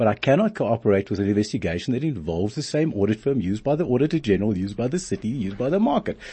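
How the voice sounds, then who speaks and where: A man with a medium pitch talks very fast with hardly any pauses. His somewhat breathy voice has lively intonation. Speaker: fraud expert and lecturer. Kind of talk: interview. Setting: studio.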